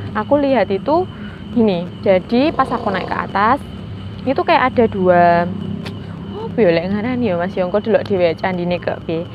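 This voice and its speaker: A woman with lively intonation and a medium pitch can be heard through noticeable background noise. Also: moderate pace. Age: 20s. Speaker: podcast guest with mystical experiences. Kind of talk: casual interview storytelling.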